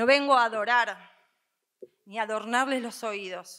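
A woman's fairly high, bright and sharp voice in a solemn tone, fairly slow with fairly even intonation, over a quiet background. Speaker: co-pregonera, speaker. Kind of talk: formal, ceremonial speech with poetic phrasing. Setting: stage with audience. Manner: formal, solemn, emotional. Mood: earnest, emphatic. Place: stage. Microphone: podium.

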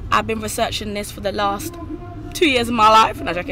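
A woman is heard in a dry sound with no echo. Noticeable background noise runs underneath. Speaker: vlogger. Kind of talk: casual vlog chat. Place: car. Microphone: phone near.

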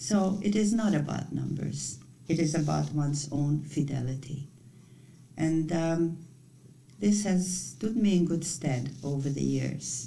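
A woman's very deep, low voice with a dark, mellow tone and vocal fry, at a fairly slow pace with ordinary pitch variation, over light background noise. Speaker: retreat leader. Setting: retreat. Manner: calm, measured. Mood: calm, gentle, reflective. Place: home room. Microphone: webcam.

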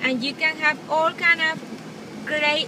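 A woman's raised, projected voice at a fairly slow pace, with noticeable background noise and a dry sound with no echo. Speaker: beauty vlogger. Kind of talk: casual vlog chat. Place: car. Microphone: phone near.

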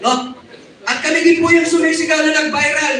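A man speaks in a raised, projected voice at a moderate pace. The room echo is audible and background noise noticeable. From Zamboanga region, Philippines. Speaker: activist group leader. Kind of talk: rally speech.

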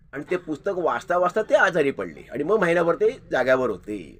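A man's voice, high in pitch. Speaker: channel host, grandson paying tribute. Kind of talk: commemorative monologue.

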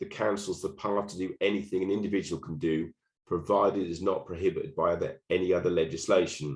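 A man speaks with a Norfolk accent. His pace is very fast. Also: hardly any pauses. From England, Norfolk. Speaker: local council association officer. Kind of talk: webinar presentation. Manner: hesitant, many fillers and repetitions.

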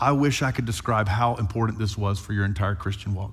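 The background stays quiet as a man talks. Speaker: pastor. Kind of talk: sermon. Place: church. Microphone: headset.

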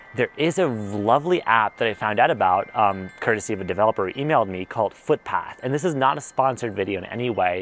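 Over music in the background, a man with a fairly low voice speaks at a fairly quick pace with ordinary pitch variation, the sound dry with no echo. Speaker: tech reviewer. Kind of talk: casual review to camera. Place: garden. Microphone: lapel.

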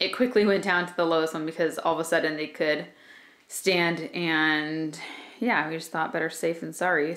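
A woman talks at a moderate pace with a fairly low pitch.

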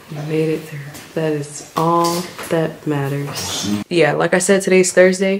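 A woman with an unremarkable speaking voice, fairly low in pitch, speaks with fairly even intonation over light background noise. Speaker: new mother vlogger. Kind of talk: casual vlog chat. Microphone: phone near.

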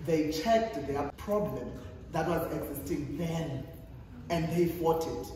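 The speaker has a South African accent. There is strong room echo and light background noise. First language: Xhosa. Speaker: youth activist and panelist. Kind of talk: panel discussion. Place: hall. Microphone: camera far.

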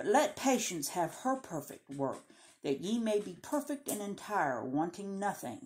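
With very wide pitch swings around a medium pitch, a woman talks at a fairly slow pace. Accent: Southern US. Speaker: Bible reading video host. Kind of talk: reading aloud; casual chat. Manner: halting.

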